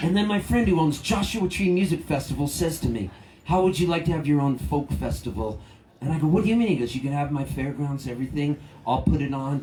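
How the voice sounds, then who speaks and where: Very fast speech with ordinary pitch variation, noticeable background noise and audible room echo. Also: man, fairly high pitch for a man. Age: 60s. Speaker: singer-songwriter. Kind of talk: storytelling between songs at a concert. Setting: outdoor festival stage with audience. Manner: animated.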